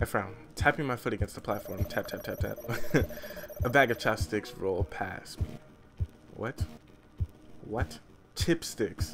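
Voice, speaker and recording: Over music in the background, a man speaks at a fairly slow pace with lively intonation and long, frequent pauses. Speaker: streamer reading a visual novel aloud. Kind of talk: live stream reading aloud with commentary. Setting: live stream. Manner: soft-spoken; casual, halting with fillers.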